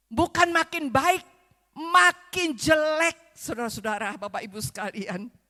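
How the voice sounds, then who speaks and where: A woman projects a raised, high-pitched voice with a bright, sharp tone at a very slow pace, in a dry, close recording without echo. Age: 70s. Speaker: visiting preacher. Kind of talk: sermon. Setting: church service.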